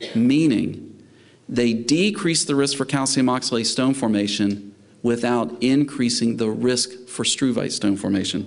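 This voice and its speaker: In a Southern US accent, a man talks at a medium pitch with very even loudness while audible room echo surrounds him. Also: ordinary pitch variation, fairly slow pace. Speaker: veterinary specialist lecturer. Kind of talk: lecture. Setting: conference talk with live interpreters.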